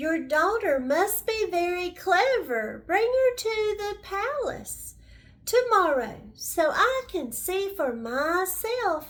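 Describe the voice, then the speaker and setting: Putting on a squeaky character voice at an extremely high pitch, a woman talks at a very slow pace with very wide pitch swings, in a very clean recording with a silent background. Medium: read story. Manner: commanding.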